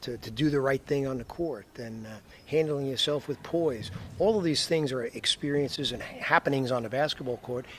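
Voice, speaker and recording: Speaking at a moderate pace, a man with a fairly high pitch has an unremarkable speaking voice. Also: ordinary pitch variation. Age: 60s. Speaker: basketball coach. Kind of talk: interview. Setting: Iceland.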